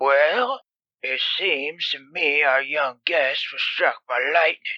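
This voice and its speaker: A man puts on a character voice with a fairly high pitch, speaking at a very slow pace in a dry, close sound with no echo. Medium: read story. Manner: calm, soothing.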